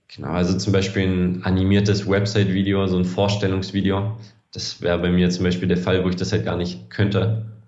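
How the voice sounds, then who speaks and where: Audible room echo surrounds a man with a very deep, low pitch. He talks at a fairly quick pace in a monotone, flat intonation. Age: 20s. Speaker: sports videographer and video editor. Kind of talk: casual interview.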